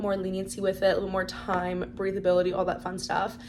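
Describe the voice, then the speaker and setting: Noticeable noise fills the background. Over it, a woman talks very fast. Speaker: book vlogger. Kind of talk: casual chat. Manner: animated.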